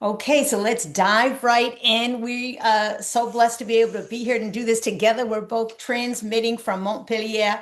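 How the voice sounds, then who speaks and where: At a fairly slow pace, a woman with a normal speaking voice talks at a fairly high pitch. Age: 60s. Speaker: spiritual coach. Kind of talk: casual chat.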